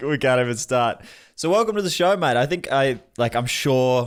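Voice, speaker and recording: A very clean recording with a silent background, ordinary pitch variation and a fairly quick pace. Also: man. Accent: Australian. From Australia (Melbourne). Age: 20s. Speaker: podcast host. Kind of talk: casual interview chat.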